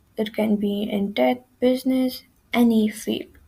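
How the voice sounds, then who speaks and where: A woman's somewhat breathy, dark, mellow voice at a very slow pace. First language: not English. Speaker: student presenter. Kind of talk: tutorial. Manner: halting, with frequent self-corrections.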